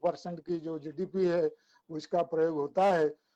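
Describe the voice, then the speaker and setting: A man with an Odia accent speaks in a high pitch with a dark, mellow tone and monotone, flat intonation, in a dry, close sound with no echo. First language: Odia (speaking Hindi). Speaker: academic speaker. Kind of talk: webinar talk. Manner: halting, with filler sounds.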